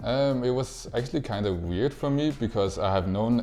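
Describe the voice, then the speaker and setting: A man with a Danish accent speaks at a moderate pace. His pitch varies in an ordinary way. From Denmark. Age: 20s. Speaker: esports player. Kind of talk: interview. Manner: halting, many fillers and repeats.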